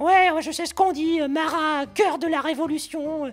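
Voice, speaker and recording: A man's cartoonish character voice at an extremely high pitch. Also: moderate pace. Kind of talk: comedy puppet dialogue full of puns. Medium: puppet.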